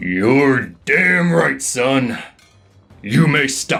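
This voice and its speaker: Using a put-on character voice, a man speaks loud and raspy at a medium pitch with lively intonation, while faint music plays in the background. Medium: read story. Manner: loud, barking.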